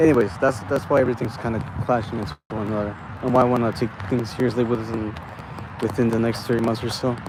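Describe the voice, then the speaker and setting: A man's medium-pitched voice at a very fast pace, with fairly even intonation and noticeable background noise. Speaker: vlogger. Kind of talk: casual monologue vlog. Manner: halting, many fillers.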